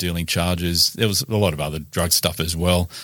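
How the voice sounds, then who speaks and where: A man's very deep, low voice with an Australian accent, on a very clean recording with a silent background. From Newcastle, New South Wales, Australia. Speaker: former police detective and author. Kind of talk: casual interview. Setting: studio.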